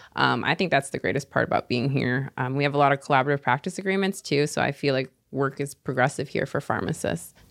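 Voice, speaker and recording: A woman speaks very fast with an American accent, barely pausing, her very deep, low pitch marked by vocal fry. The sound is dry and close with no echo. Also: ordinary pitch variation. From Seattle, US Pacific Northwest. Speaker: pharmacy resident. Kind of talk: casual interview.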